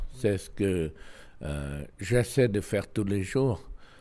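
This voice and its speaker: A man's dark, mellow voice in a Lao accent, very slow, with very wide pitch swings. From Laos. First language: Lao (speaking French). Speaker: ambassador; interviewee. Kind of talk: interview. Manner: halting, frequent hesitations. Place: home room. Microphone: handheld.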